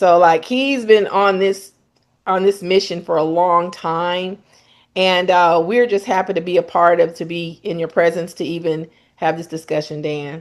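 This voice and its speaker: A woman speaks in a plain, everyday voice at a fairly low pitch and moderate pace. Her intonation is fairly even, and the background is quiet. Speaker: podcast host, medical equipment specialist. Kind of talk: interview. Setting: podcast.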